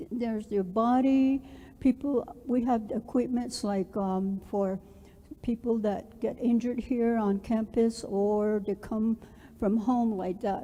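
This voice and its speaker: In a Southwestern US accent, a woman speaks at a very slow pace. Her pitch is fairly high and her intonation fairly even. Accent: Navajo-accented English. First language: Navajo. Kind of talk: orientation presentation. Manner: halting, many fillers.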